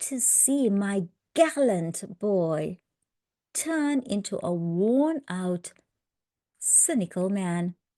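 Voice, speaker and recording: A woman speaks very slowly in a calm, dark and mellow voice with very wide pitch swings, the sound dry and close with no echo. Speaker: English teacher. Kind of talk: reading lesson with commentary. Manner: clear, slow, calm.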